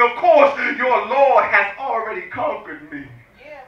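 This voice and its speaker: A raised, projected voice at a moderate pace, over noticeable background noise. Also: man. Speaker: spoken word poet. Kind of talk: spoken word poetry performance. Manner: forceful, emphatic.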